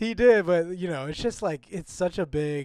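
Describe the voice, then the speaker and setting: With a Canadian accent, a man talks at a moderate pace. His intonation is lively. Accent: very Canadian. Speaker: podcast co-host. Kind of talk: casual chat. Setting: remote call from abroad. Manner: casual, filler-heavy. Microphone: poor audio quality.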